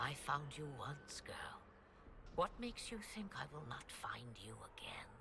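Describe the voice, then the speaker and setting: A whispered, put-on character voice. Loud background noise fills the recording. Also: moderate pace. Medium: video game. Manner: cryptic, mocking.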